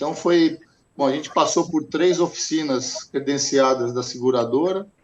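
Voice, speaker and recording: Ordinary pitch variation marks a man's speech at a fairly slow pace. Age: 60s. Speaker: insurance customer. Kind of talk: interview testimony. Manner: halting, many repetitions.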